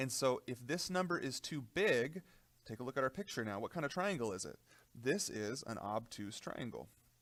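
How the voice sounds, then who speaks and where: On a very clean recording with a silent background, a man's voice moves in very wide pitch swings. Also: medium pitch for a man. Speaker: math teacher. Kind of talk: tutorial. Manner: fast.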